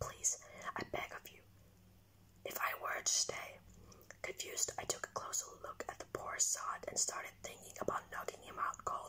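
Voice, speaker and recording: Whispering amid noticeable background noise, a man shifts through big swings in loudness. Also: moderate pace. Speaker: ASMR content creator. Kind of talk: ASMR horror story reading. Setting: recorded on a phone without a microphone.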